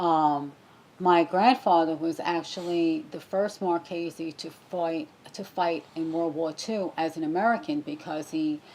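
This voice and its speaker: With an unremarkable speaking voice, a woman speaks in a fairly low pitch with fairly even intonation and big swings in loudness. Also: fairly slow pace. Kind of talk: interview answer.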